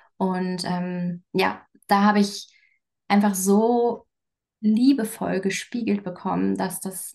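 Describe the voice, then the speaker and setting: In a quiet background, a woman speaks at a very slow pace and medium pitch, somewhat breathy and fairly even in intonation. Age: 30s. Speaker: coach and communication expert. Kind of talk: casual interview.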